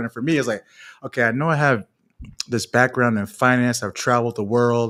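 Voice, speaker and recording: An American accent marks this man's animated, very fast speech at a medium pitch. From Florida, US. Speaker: finance professional and mentor. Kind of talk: live stream interview.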